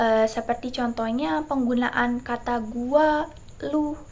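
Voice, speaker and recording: A woman's high pitch with ordinary variation, in a very clean recording over a silent background. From Indonesia, West Java (Bogor, Sundanese family). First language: Sundanese (speaking Indonesian). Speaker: university student. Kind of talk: class presentation. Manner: hesitant, many fillers.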